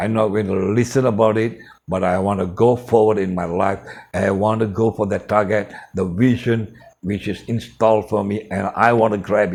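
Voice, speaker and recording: A man at a moderate pace, fairly low in pitch, with monotone, flat intonation. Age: 60s. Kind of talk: motivational storytelling. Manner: informal non-native phrasing.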